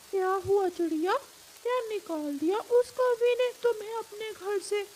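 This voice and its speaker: A cartoonish character voice at an extremely high pitch goes at a fairly slow pace with clear background noise. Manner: warm, advising.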